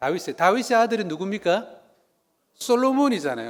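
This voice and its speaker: Very wide pitch swings at a fairly quick pace, with a slight Gyeongsang accent. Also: man. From South Korea, Busan (Gyeongsang). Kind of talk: lecture. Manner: conversational, engaging audience.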